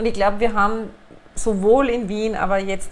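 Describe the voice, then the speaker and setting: A woman's medium-pitched voice comes at a moderate pace, with audible room echo. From Upper Austria. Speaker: city administration director. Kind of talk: interview. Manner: hesitant fillers.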